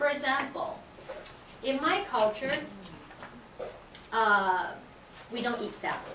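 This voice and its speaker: At a very slow pace, a woman uses a raised, projected voice at a high pitch, with long, frequent pauses. Audible room echo and noticeable background noise fill the recording. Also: lively intonation. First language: not English. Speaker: teacher. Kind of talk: classroom teaching. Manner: halting.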